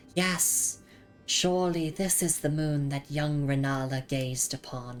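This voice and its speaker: A put-on character voice at a low-to-middle pitch with clear music in the background. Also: fairly slow pace. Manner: dramatic, fantasy-like.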